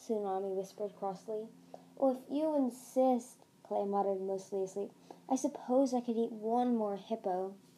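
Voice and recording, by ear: Someone reads aloud in a natural voice, the pitch rising and falling in an ordinary way.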